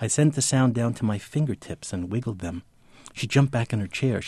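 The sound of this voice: The recording consists of an unforced reading voice.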